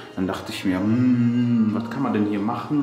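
Music sounds clearly in the background. Over it, a man talks. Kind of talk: casual vlog chat. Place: home room. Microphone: phone near.

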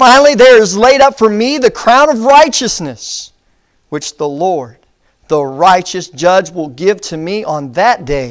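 In a quiet background, a man speaks very slowly at a high pitch with very wide pitch swings. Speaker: preacher. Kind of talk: sermon. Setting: church. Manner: earnest, pastoral, exhorting the congregation; measured, reverent when reading scripture aloud. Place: church. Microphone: lapel.

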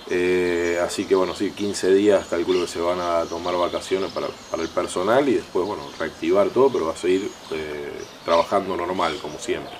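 Amid noticeable background noise, a man with a very deep, low pitch talks at a moderate pace with fairly even intonation. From Santa Fe province, Argentina. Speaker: local mayor. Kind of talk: TV interview. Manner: halting, many fillers. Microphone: handheld.

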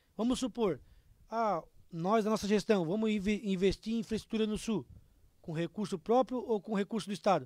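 A man with a high pitch speaks at a moderate pace with ordinary pitch variation. The sound is dry with no echo, over a quiet background. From Santa Catarina, Brazil. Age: 30s. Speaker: mayoral candidate; candidate. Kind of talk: political interview. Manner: animated. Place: studio. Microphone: studio mic.

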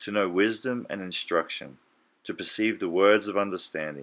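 The very clean recording, with its silent background, captures a man with an Australian accent and a fairly low pitch. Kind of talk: audiobook scripture reading.

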